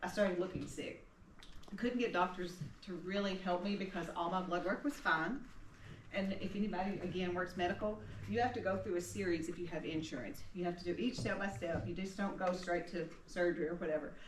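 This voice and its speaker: A fairly quick voice in a Tennessee accent with ordinary pitch variation, over noticeable background noise and audible room echo. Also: woman, medium pitch for a woman. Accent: Southern US (Tennessee). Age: 60s. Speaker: retired nurse, cancer survivor. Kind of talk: personal testimony talk.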